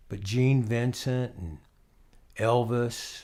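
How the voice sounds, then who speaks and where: A man talks with an American accent in a somewhat breathy voice. The recording is very clean, with a silent background. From US South, central Florida. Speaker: musician. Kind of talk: casual interview. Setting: at the guest's home.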